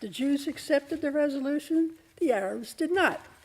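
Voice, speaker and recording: There is noticeable background noise behind a woman's voice. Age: 80s+. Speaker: public commenter. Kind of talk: public comment.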